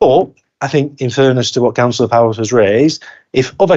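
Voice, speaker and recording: With a northern English accent, a man speaks at a medium pitch and a fairly quick pace, his pitch varying in an ordinary way. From northern England. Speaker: council cabinet member. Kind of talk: council meeting debate. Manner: fast.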